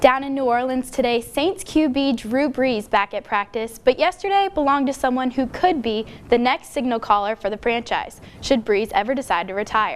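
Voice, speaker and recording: A woman with an American accent speaks at a moderate pace with hardly any pauses, a high pitch and lively intonation, over noticeable background noise. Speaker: sports and news reporter, broadcast journalism student. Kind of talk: TV news and sports anchor/reporter read.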